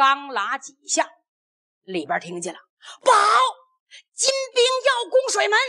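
A woman with an extremely high pitch and a bright, sharp tone speaks in a raised, projected voice at a fairly slow pace, her pitch swinging very widely and her loudness rising and falling sharply around long, frequent pauses. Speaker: storyteller performing a traditional serialized oral epic (pingshu). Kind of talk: narrative storytelling.

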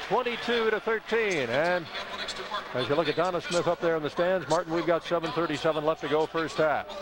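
Speaking at a moderate pace with a high pitch, a man uses lively intonation. The sound is dry with no echo, though noticeable background noise is present. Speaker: radio play-by-play announcer. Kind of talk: live sports commentary, play-by-play. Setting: arena broadcast of a basketball game. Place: stadium. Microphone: headset.

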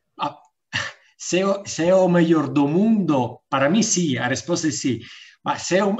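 Fairly high male voice with lively intonation against a quiet background. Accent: Italian. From Italy. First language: Italian (speaking Portuguese). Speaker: diplomat; webinar panelist. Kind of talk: welcome speech. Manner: halting. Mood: friendly, smiling. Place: home room. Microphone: video call.

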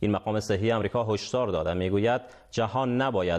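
A man at a medium pitch and a fairly quick pace, with ordinary pitch variation and a quiet background. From Afghanistan. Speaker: news anchor. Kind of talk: news reading. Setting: studio. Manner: formal. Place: studio. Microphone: lapel.

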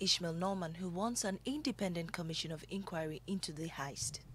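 An unremarkable speaking voice from a woman, medium in pitch, at a fairly quick pace. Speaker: news anchor. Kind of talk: news reading. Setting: studio.

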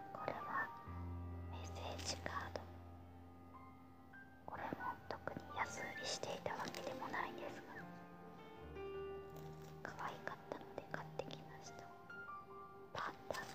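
A woman at a fairly slow pace over loud music in the background. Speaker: shopping haul vlogger. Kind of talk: casual talk to camera. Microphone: phone near.

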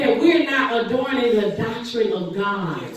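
Strong room echo surrounds a fairly slow delivery. Light background noise is present. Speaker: preacher. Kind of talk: sermon. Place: church. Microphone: camera far.

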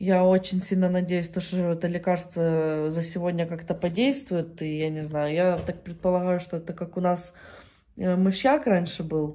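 A woman speaks at a moderate pace with a dark, mellow tone and fairly even intonation against a quiet background. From Ukraine. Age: 20s. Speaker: vlogger. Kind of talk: casual vlog monologue. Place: home room. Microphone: phone near.

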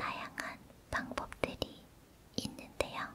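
Whispering, a woman speaks at a very slow pace. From Korea. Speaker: ASMR creator. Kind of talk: ASMR whispered talk while doing hand massage. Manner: whispered, soft, slow. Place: home room. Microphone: studio mic.

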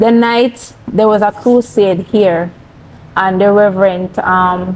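A woman speaks in a Jamaican accent at a medium pitch with ordinary variation. Light background noise sits behind her. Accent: Jamaican English with patois. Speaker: cancer survivor; interview guest. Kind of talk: testimony. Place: studio.

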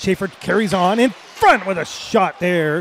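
A man's energetic, high-pitched voice with lively intonation, dry with no echo, over light background noise. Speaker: hockey play-by-play announcer. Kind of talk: live sports play-by-play commentary. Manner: fast, energetic, rapid-fire. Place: booth.

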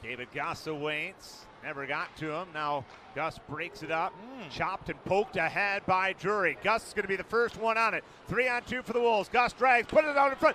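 Very wide swings in pitch from a man speaking in a raised, projected voice. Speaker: hockey play-by-play announcer. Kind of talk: ice hockey play-by-play commentary.

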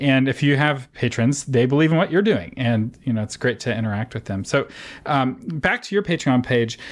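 Here is a man with an ordinary speaking voice. He moves at a moderate pace with lively intonation. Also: medium pitch for a man. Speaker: podcast host. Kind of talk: interview podcast. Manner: casual, laughs often.

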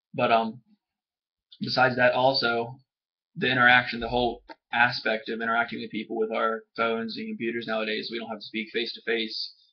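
A man speaks at a fairly quick pace in a monotone, flat intonation with big swings in loudness. The background is quiet. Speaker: student. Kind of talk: casual talk to camera, class assignment reflection. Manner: fast. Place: home room. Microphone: webcam.

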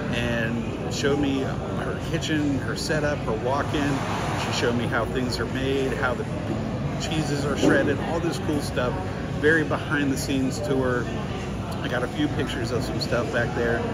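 A man talks at a moderate pace. Loud background noise runs under him. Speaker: food vlogger. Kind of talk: casual vlog chat. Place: market. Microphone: phone near.

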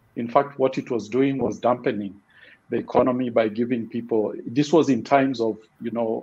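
This man has a dark, mellow tone at medium pitch. He keeps a moderate pace and fairly even intonation. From Kenya. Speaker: financial inclusion expert; panelist. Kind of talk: panel discussion. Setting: online webinar. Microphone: video call.

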